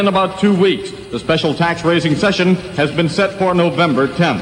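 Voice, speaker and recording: A man talks at a fairly quick pace in a high pitch. Noticeable background noise sits behind him. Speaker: radio news reporter. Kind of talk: radio newscast.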